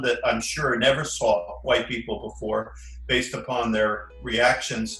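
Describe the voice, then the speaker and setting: There is noticeable background noise and audible room echo. A man talks at a moderate pace. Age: 70s. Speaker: retired former monk recalling his life. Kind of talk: casual interview, reminiscing.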